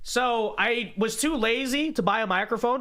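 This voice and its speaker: In a raised, projected voice with a bright, sharp tone, a man speaks. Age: 20s. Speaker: political commentator reacting to old videos. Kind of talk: casual reaction livestream. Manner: casual, halting.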